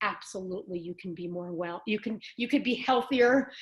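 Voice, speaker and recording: A woman talks at a moderate pace. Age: 50s. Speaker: bodybuilder sharing lupus recovery story. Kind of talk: podcast interview.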